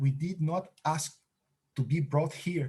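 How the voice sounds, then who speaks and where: A man speaks with a non-native accent. His tone is dark and mellow, and somewhat breathy. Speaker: interviewee discussing Rastafari and repatriation. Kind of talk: earnest, explanatory. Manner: hesitant, many filler sounds.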